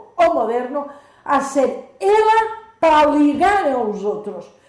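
Her pitch is high and swings very widely as a woman speaks amid audible room echo. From Spain, Majorca. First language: Spanish or Catalan (speaking Portuguese). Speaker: nun. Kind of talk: radio interview.

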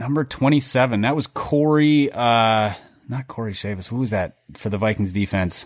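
This man has an ordinary speaking voice at medium pitch. He talks at a moderate pace with ordinary pitch variation. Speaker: podcast host. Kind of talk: casual sports chat.

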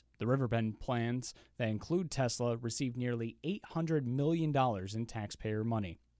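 The recording is very clean, with a silent background. A man with a normal speaking voice talks at a moderate pace with ordinary pitch variation. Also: dry, close sound with no echo. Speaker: radio news anchor. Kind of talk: news reading. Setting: studio.

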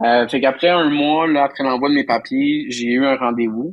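With a voice pitched fairly high, a man delivers his words at a moderate pace. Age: 30s. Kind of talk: interview. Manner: halting, many fillers and repetitions.

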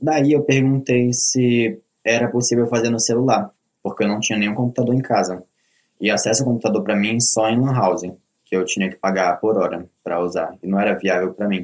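This man talks at a fairly quick pace with a medium pitch. His pitch variation is ordinary, and he has a normal speaking voice. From Belém do Pará, northern Brazil. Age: young. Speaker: self-taught programmer. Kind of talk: interview.

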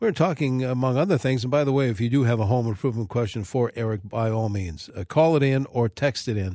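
With a normal speaking voice, a man talks at a moderate pace in a medium pitch with lively intonation, recorded very cleanly against a silent background. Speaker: radio host. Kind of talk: casual radio interview. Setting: studio.

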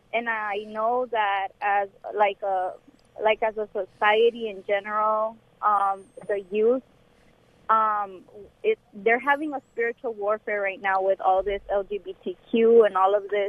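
Speaking fairly slowly, a woman uses an ordinary speaking voice with a fairly high pitch and fairly even intonation. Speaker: co-pastor. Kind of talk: call-in conversation. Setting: phone call.

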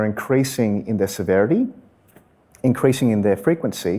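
Fairly quick speech comes from a man with an Australian accent. His tone is dark and mellow. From Western Sydney, Australia. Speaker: environmental lawyer. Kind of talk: live interview. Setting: stage with audience.

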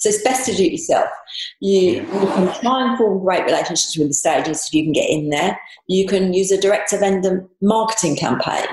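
A woman with a London accent talks at a fairly quick pace, her medium pitch carrying lively intonation. Audible room echo fills the recording. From southeast London, England. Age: 60s. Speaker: dentist turned property investor. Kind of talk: interview.

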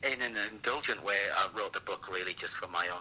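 Through noticeable background noise, a man speaks with an English accent. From England. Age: 40s. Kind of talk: interview.

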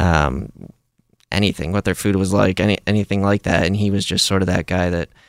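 A man's very deep, low voice with an American accent, fairly quick pace and ordinary pitch variation, in a dry, close sound with no echo on a very clean recording with a silent background. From Ohio. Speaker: army veteran. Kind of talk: interview. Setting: studio.

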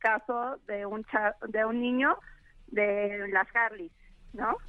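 A woman speaks very slowly, her fairly high voice held to a fairly even intonation. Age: 30s. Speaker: radio caller. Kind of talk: casual chat.

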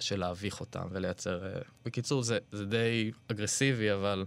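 Very clean with a silent background, the recording carries an ordinary speaking voice with fairly even intonation at a moderate pace. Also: man. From Israel, Ra'anana. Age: 30s. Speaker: artist. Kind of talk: interview conversation. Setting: studio.

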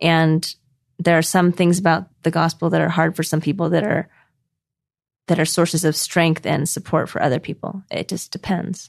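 Monotone, flat intonation from a woman with a fairly low pitch, a moderate pace, and a dry, close sound with no echo. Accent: West Coast. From California, Orange County. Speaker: scholar and author. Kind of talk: interview.

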